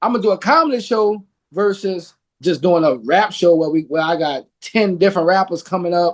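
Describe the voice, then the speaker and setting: High in pitch, a man speaks with ordinary pitch variation. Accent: Louisiana. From Louisiana. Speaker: podcast host. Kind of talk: casual interview chat.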